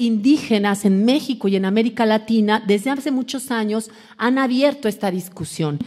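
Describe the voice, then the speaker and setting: Against a quiet background, a woman talks at a fairly slow pace with a fairly high pitch. Her tone is dark and mellow and somewhat breathy. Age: 40s. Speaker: academic lecturer on decolonial feminism. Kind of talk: lecture. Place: hall. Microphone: podium.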